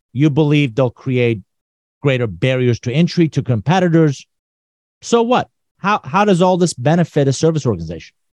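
This man's fairly high voice makes very wide pitch swings at a moderate pace, his loudness very even and the sound dry and close with no echo. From Iran. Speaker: business author and consultant. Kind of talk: casual chat.

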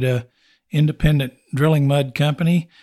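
With a West Texas accent, a man talks at a moderate pace and fairly high pitch in monotone, flat intonation. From West Texas (Snyder). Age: 60s. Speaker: oilfield services company owner. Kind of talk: interview.

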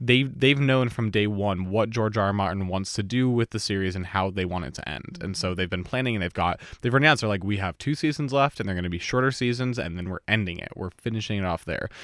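Speaking at a very fast pace with hardly any pauses, this man has a fairly low pitch and ordinary pitch variation, recorded very cleanly against a silent background. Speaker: student podcast host. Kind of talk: casual chat.

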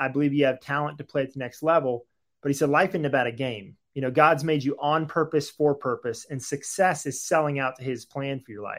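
Speaking at a moderate pace, a man with a fairly high pitch has an unremarkable speaking voice and ordinary pitch variation. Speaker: author and ministry founder. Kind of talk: interview, testimony.

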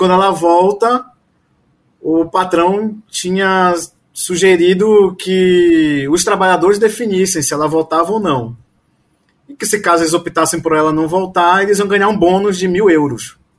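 A high-pitched man talks fairly slowly, his pitch varying in an ordinary way. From Pará, Brazil (Belém). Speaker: family doctor and university lecturer. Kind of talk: casual interview discussion.

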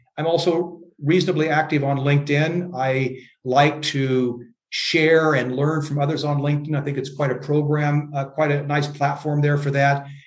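With an American accent and a fairly high pitch, a man speaks in a monotone, flat intonation amid audible room echo. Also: moderate pace. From US Midwest, Iowa. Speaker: leadership coach and author. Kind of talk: interview.

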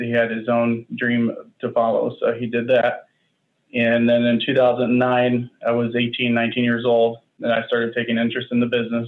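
A man with an American accent speaks at a moderate pace in a medium pitch, his intonation monotone and flat. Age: 30s. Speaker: machine shop owner. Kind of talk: interview.

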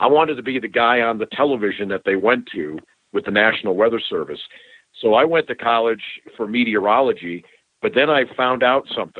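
A man with an ordinary speaking voice, medium pitch and a fairly quick pace. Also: ordinary pitch variation. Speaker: sports broadcaster. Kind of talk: casual interview chat.

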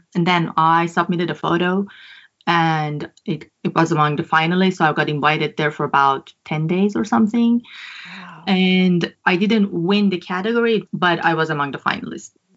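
In a Persian accent, a woman talks at a moderate pace. Her pitch is fairly low. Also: ordinary pitch variation. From Iran. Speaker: photographer. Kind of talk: casual chat. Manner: halting.

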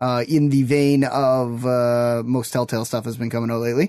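This man has a medium pitch and an ordinary speaking voice, talking at a moderate pace. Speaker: podcast co-host. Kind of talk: casual banter.

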